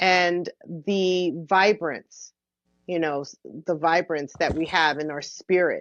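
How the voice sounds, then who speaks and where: Dry and close with no echo, the recording has a woman speaking very slowly at a fairly low pitch with fairly even intonation. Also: quiet background. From Mount Vernon, New York, US. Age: 60s. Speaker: musician and cancer survivor. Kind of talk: interview conversation. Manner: halting.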